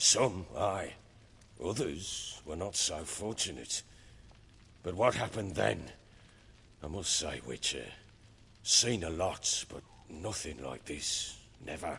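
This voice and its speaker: A man puts on a raspy character voice with a very deep, low pitch. He talks at a fairly slow pace with lively intonation and long, frequent pauses. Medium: video game. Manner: gruff, blunt.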